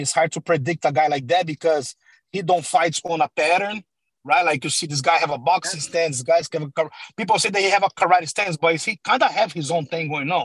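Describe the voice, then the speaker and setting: Talking at a fairly quick pace with a Portuguese accent, a high-pitched man shows ordinary pitch variation in a dry, close recording with no echo. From Brazil (Sao Paulo). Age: 30s. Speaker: MMA coach. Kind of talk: interview. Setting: video call.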